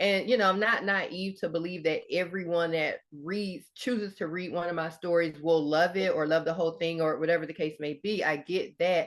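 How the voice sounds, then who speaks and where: A woman speaks with a Southern US accent at a moderate pace, her pitch fairly low. Her intonation stays fairly even, with hardly any pauses. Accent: Southern US (Georgia). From US South, Georgia. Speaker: author and Air Force veteran. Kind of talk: interview.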